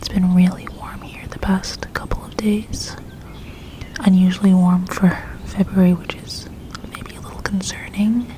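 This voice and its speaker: Someone is whispering at a fairly slow pace. Noticeable background noise runs underneath. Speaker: ASMR creator. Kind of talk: ASMR whisper / soft-spoken talk. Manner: whispered, soft-spoken.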